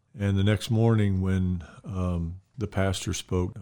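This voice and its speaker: This man has a very deep, low voice with a dark, mellow tone and an Alabama accent. He talks at a moderate pace in a flat monotone, recorded very cleanly against a silent background. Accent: Southern US (Alabama). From US South, Mobile, Alabama. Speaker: retiring pastor. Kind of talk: casual interview about faith and ministry.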